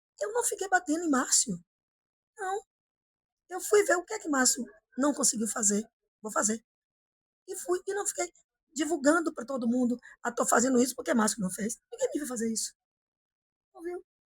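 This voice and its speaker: At a moderate pace with long, frequent pauses, the voice makes very wide pitch swings and big swings in loudness, the sound dry and close with no echo. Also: woman, high pitch for a woman. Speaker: politician. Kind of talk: interview. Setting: office.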